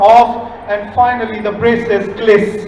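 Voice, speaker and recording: This is a man's voice. Noticeable background noise runs beneath it. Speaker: poet. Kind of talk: spoken word poetry performance. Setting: live stage, festival audience.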